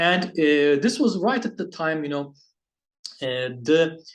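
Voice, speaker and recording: This is a man speaking. He has a Turkish accent. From Turkey. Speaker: basketball video reviewer. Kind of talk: casual vlog monologue. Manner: halting, many fillers and restarts.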